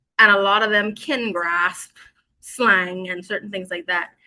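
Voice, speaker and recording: The tone is bright and sharp, delivered in a Bahamian accent. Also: woman. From Bahamas. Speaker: teacher. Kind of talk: interview.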